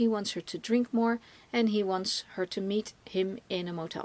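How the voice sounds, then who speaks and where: A woman with a Dutch accent at a fairly slow pace, with ordinary pitch variation and a dry, close sound with no echo. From Netherlands. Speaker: film reviewer, podcast co-host. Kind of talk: casual film review discussion. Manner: halting, many fillers and restarts.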